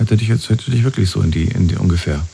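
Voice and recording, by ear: Husky and rough-edged with vocal fry, a man's voice has a slightly mellow tone and moves at a fast pace.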